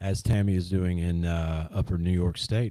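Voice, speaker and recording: In a very clean recording with a silent background, a man speaks with a Southern US accent. His tone is dark and mellow, and his pace is moderate. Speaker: livestream host exploring ancient mound sites. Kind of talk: casual livestream chat. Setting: live stream. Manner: hesitant, many fillers.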